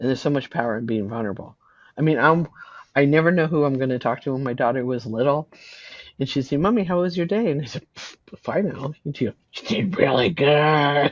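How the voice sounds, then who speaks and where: A woman with a West Coast accent speaks at a fairly quick pace with very deep, low pitch and lively intonation. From California. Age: 60s. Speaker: animal communicator. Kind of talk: interview.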